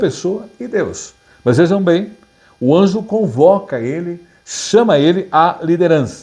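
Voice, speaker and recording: A man with a high pitch speaks at a very slow pace amid audible room echo. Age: 60s. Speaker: pastor. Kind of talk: sermon. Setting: online Bible class video. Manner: halting.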